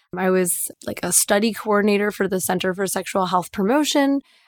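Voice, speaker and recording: The sound is dry and close, with no echo. The speaker has a Midwestern American accent and a fairly quick pace. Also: woman. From US Midwest, Detroit suburbs. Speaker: sex and relationship coach. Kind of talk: casual chat; guided meditation.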